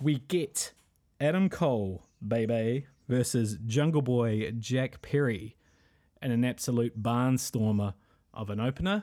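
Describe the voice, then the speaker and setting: On a very clean recording with a silent background, a man with a dark, mellow tone speaks at a fairly slow pace with ordinary pitch variation. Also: medium pitch for a man. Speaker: wrestling podcast host. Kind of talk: solo commentary podcast. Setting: at home. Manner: quieter, hushed indoor voice.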